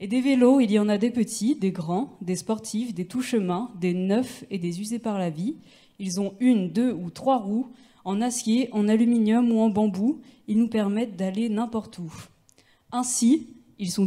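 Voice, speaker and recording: At a fairly slow pace, a woman speaks with a somewhat breathy, dark, mellow tone and ordinary pitch variation. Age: 20s. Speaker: bike mechanic and cycling activist. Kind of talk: reading aloud. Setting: stage with audience.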